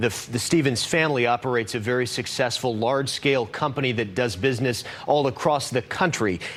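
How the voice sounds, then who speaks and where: At a fairly quick pace, a man with a medium pitch talks with ordinary pitch variation and very even loudness amid noticeable background noise. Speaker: news reporter. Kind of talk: live TV news report.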